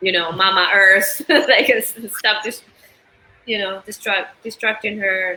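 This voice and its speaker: Fairly slow speech from a woman with an Argentine accent at medium pitch, with ordinary pitch variation and noticeable background noise. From Argentina. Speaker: musician. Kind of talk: interview conversation.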